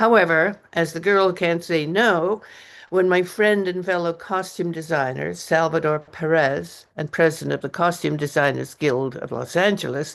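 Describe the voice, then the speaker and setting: Vocal fry with ordinary pitch variation against a quiet background. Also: woman, fairly low pitch for a woman, moderate pace. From English Canada. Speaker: author and retired costume designer. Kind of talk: reading aloud from own memoir. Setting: open mic reading event.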